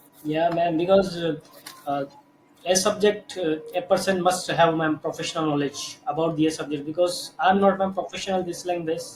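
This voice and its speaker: Over noticeable background noise, a man talks at a fairly quick pace in a high pitch with fairly even intonation. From India. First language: Hindi. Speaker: English learner. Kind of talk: casual chat. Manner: halting.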